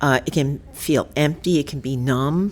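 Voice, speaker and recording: The delivery is very slow, in a New York accent. Pitch varies in an ordinary way. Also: woman. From New York City, the Bronx. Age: 70s. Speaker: poet and photographer. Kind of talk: podcast conversation. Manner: halting, many fillers.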